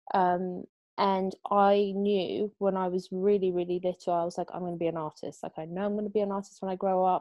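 In a quiet background with a dry sound and no echo, a woman speaks with monotone, flat intonation. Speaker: podcast co-host. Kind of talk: casual chat. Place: home room. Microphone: earbuds.

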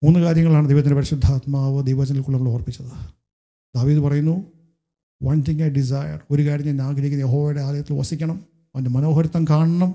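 A man's fairly high, somewhat breathy voice with a dark, mellow tone against a quiet background. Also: fairly even intonation. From Kerala, India. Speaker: pastor. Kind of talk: sermon. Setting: church. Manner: frequent switching between Malayalam and English. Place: church. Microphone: handheld.

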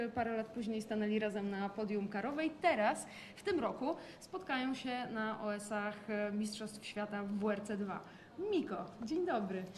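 Someone talks at a fairly slow pace in a normal speaking voice with ordinary pitch variation, over light background noise. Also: woman, fairly high pitch for a woman. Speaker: motorsport journalist. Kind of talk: interview. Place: home room. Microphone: lapel.

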